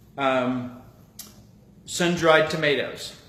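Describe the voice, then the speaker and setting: The room echo is audible. There is noticeable background noise. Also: man. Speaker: cooking show host. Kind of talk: live cooking demonstration.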